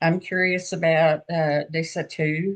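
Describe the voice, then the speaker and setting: A woman with a Southern US accent speaks at a fairly slow pace. Her very deep, low pitch shows ordinary variation. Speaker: group participant. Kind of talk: casual group chat.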